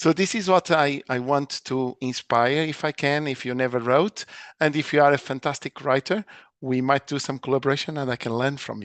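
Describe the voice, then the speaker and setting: In a dry, close sound with no echo and a quiet background, a man talks at a moderate pace. His pitch is fairly high, with ordinary variation. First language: not English (fourth language). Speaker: nursing lecturer. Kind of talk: seminar talk.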